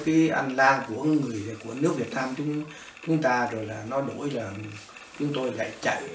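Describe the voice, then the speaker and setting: A man with a Northern Vietnamese accent speaks at a fairly high pitch with ordinary pitch variation, and the recording has audible room echo and noticeable background noise. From northern Vietnam, Móng Cái. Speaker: refugee, former fisherman. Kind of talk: oral history interview. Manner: halting, many fillers.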